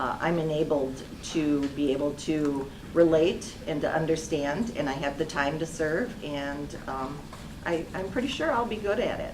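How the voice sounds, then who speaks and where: Her pitch is very deep and low, and she has an American accent. The woman's recording carries noticeable background noise and audible room echo. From Kenosha, Wisconsin. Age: 60s. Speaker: local election candidate. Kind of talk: candidate forum answers.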